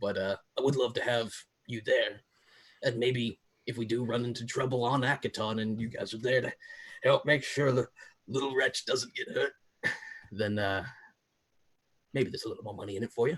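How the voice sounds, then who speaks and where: Putting on a raspy character voice, a man talks at a fairly quick pace with a medium pitch. Long, frequent pauses break up his lines. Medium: actual play. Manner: hesitant, rambling, filler-heavy.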